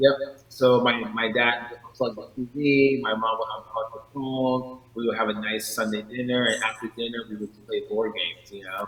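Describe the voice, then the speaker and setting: With hardly any pauses, a man talks at a moderate pace and medium pitch in a monotone, flat intonation over noticeable background noise. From New York. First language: not English. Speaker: artist. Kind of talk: interview.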